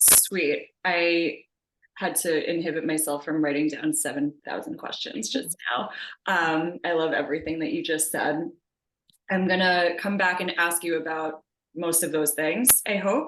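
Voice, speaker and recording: This woman has a plain, everyday voice with a fairly low pitch. She speaks fairly slowly, with ordinary pitch variation. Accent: American. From US Northeast, Long Island, New York. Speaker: interviewer. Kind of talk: interview conversation. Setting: video call.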